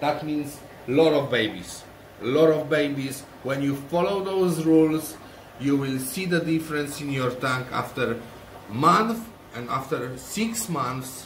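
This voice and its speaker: A man speaks at a fairly slow pace with a Polish accent, his pitch fairly high and his pitch variation ordinary. Audible room echo and noticeable background noise surround him. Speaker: aquarium shrimp breeder, channel owner. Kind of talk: tutorial. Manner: halting.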